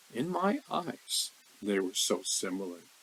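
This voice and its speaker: A man speaks with an American accent and vocal fry. His pitch swings very widely. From US West Coast, Newport Beach California. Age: 70s. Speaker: spiritual video creator. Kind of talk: personal reflection monologue; reading aloud. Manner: halting, stumbles over words.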